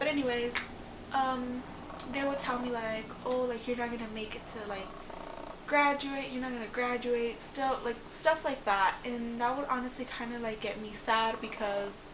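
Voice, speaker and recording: A high-pitched woman's voice at a moderate pace, with fairly even intonation, audible room echo and noticeable background noise. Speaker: vlogger, young mother. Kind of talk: casual vlog talk. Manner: many fillers (um, like).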